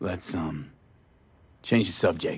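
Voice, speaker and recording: This is a put-on character voice. It sounds raspy. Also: man. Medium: video game. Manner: terse, plain-spoken.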